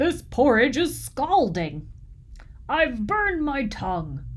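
A put-on character voice with a fairly high pitch. It moves at a fairly slow pace.

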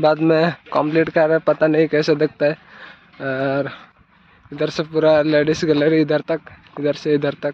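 Recorded dry with no echo, a man talks at a fairly slow pace. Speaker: village vlogger. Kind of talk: casual vlog chat. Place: open country. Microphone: phone near.

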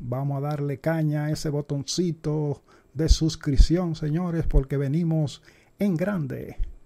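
This man's voice carries a dark, mellow tone. It comes across as somewhat breathy. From Dominican Republic. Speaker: YouTube sports channel host doing parody baseball announcer. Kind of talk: parody baseball play-by-play narration, mock broadcaster style. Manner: hushed, whispering so as not to wake his mother. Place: home room.

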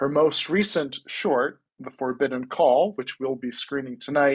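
A man speaks fairly slowly while the background stays quiet. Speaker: event host. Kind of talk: moderated Q&A. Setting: video call. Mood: warm, friendly. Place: home room. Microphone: earbuds.

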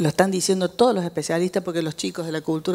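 Her pitch sits fairly low, and the woman's voice shows ordinary pitch variation. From Argentina, Córdoba; Argentina. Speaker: educational psychologist and writer; speaker. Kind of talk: public talk. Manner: animated. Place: hall. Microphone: handheld.

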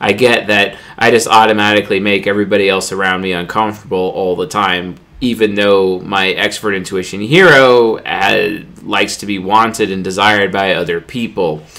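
A man's normal speaking voice, fairly low in pitch with fairly even intonation. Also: moderate pace. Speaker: personality type commentator. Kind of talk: casual vlog chat. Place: home room.

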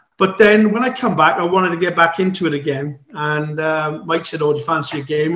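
Against a quiet background with audible room echo, a man speaks at a high pitch and a fairly quick pace, with ordinary pitch variation and hardly any pauses. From South Africa. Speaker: ex-serviceman and golfer. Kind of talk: casual chat. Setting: video call. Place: home room. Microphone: video call.

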